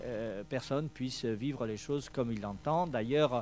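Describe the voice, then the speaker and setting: A man with a Spanish accent speaks at a medium pitch with ordinary pitch variation. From Spain. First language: Spanish (speaking French). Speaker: event organizer. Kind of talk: press presentation speech. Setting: hotel press conference. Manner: halting, many hesitations.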